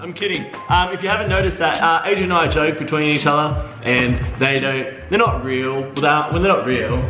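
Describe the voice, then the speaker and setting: A man speaks with audible room echo and clear music in the background. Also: fairly quick pace. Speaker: vlog host. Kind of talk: casual vlog chat. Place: kitchen. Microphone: phone near.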